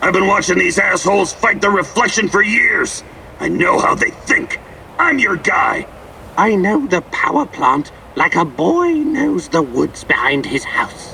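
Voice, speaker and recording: A man does a put-on character voice at a high pitch and moderate pace, with clear background noise behind him. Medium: video game. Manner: brash, crude, theatrical.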